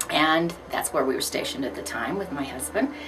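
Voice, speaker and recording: A woman's voice makes very wide pitch swings as music plays in the background. The room echo is audible. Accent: Midwestern US. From Missouri, St. Louis. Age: 60s. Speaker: retired school principal and Air Force veteran. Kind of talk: life story interview. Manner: hesitant with frequent fillers.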